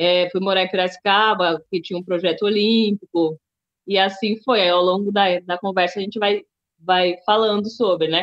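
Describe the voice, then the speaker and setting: A woman speaks at a moderate pace with a São Paulo accent. Her medium-pitched voice stays monotone and flat. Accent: Paulistano Brazilian Portuguese. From Brazil, São Paulo city. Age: 30s. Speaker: table tennis athlete, musician and writer. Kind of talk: interview.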